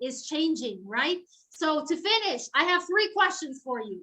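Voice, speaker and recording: The voice is raised and projected, with a bright, sharp tone. It moves at a fairly slow pace with lively intonation. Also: woman. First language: Spanish. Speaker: professor of English philology. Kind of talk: lecture. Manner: animated.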